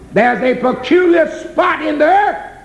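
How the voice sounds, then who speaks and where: Noticeable background noise behind a man's voice in an American accent. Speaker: gospel preacher. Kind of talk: gospel sermon.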